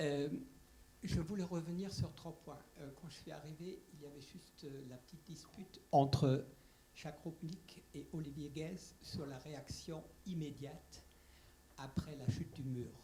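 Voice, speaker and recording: In a dark, mellow, somewhat breathy voice, the speaker talks at a fairly slow pace with long, frequent pauses, fairly even intonation and big swings in loudness, with audible room echo. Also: man, fairly high pitch for a man. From Germany. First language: German (speaking French). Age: old. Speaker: audience member, retired diplomat. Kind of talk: audience question. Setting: conference room, roving microphone.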